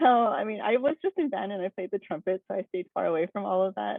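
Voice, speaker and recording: Lively intonation marks a woman's medium-pitched voice in a Korean accent. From Hawaii (Oahu, Kaneohe area). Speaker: engineering student. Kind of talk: presentation. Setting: video call. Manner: casual, many fillers.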